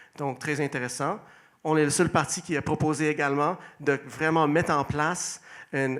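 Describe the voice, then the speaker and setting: The man's voice has a fairly high pitch and fairly even intonation. He keeps a moderate pace. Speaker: mayoral candidate. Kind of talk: election debate opening statement. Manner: hesitant, with fillers and restarts.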